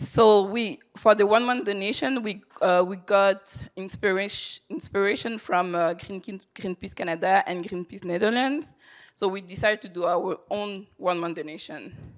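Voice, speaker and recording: A woman with a non-native accent speaks fairly slowly with hardly any pauses. The recording is very clean, with a silent background. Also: medium pitch for a woman, ordinary pitch variation. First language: not English. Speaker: charity fundraiser. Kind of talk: conference presentation. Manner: halting.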